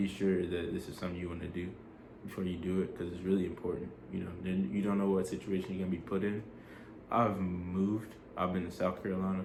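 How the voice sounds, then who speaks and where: With audible room echo, a man speaks very fast at a very deep, low pitch in a monotone, flat intonation. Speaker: army soldier vlogger. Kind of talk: casual vlog advice. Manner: casual, filler-heavy.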